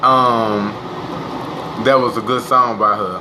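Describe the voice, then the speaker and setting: A man's voice over noticeable background noise. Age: 20s. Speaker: livestreamer. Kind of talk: casual chat. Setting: live stream. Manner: animated.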